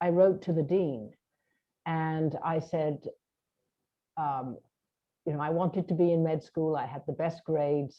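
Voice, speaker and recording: A woman talks in a very deep, low voice. Her speech has long, frequent pauses. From UK. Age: 70s. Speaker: hypnotherapist and stage hypnotist. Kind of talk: interview.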